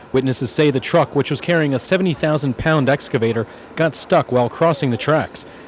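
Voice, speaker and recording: Against noticeable background noise, a man speaks at a very fast pace with a fairly high pitch and ordinary pitch variation. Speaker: TV news reporter. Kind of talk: TV news report.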